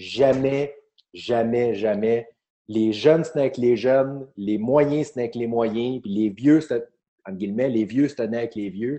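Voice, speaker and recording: A man with a Quebec accent speaks at a very slow pace. His pitch is medium, with ordinary pitch variation. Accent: Québécois French. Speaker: comedian and podcast host. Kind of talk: casual chat.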